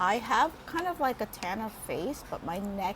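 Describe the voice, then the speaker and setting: There is noticeable background noise while a woman talks. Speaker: beauty vlogger. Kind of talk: makeup tutorial. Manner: low-energy.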